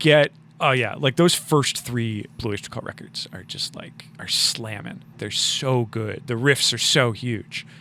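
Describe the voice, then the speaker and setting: Using an American accent, the speaker moves at a fairly slow pace with hardly any pauses, ordinary pitch variation and big swings in loudness, over noticeable background noise. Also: man, medium pitch for a man. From US Northeast (Rochester, New York). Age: 40s. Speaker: musician and podcaster. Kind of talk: casual chat.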